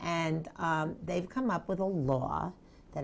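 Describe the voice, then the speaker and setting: With lively intonation, a normal speaking voice proceeds at a fairly slow pace. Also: woman. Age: 60s. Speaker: advocacy group director. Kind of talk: interview.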